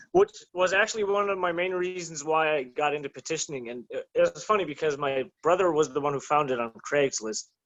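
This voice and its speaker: With a slight German accent, a man speaks at a fairly high pitch with hardly any pauses. His pitch variation is ordinary. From Germany, to American parents. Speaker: petitioner and rights activist. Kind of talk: casual podcast interview. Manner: halting, many fillers.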